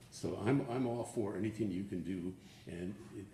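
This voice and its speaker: A man's fairly low voice with fairly even intonation and audible room echo. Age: 70s. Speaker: public commenter, retiree. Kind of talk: public comment at government meeting. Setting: county board meeting. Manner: halting.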